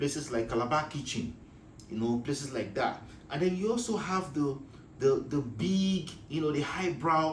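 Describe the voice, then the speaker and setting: A fairly high male voice with lively intonation at a moderate pace, in audible room echo. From Nigeria. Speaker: business advice vlogger. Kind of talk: casual talk to camera. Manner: halting, many fillers.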